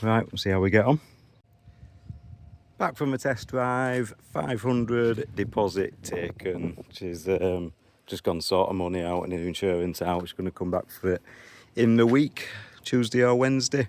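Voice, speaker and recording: A man with a Yorkshire accent, fairly low in pitch, at a moderate pace with ordinary pitch variation. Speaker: used car dealer. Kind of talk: vlog. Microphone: new phone.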